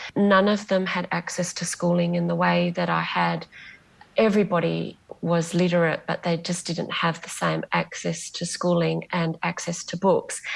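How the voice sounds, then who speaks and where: A woman with an Australian accent at a moderate pace. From Western Australia, Bunbury. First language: Greek. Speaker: novelist. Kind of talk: interview.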